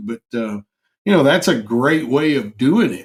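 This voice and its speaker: With an American accent, a man talks at a moderate pace and medium pitch, his voice making very wide pitch swings. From Kentucky. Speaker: podcast co-host. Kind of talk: casual chat.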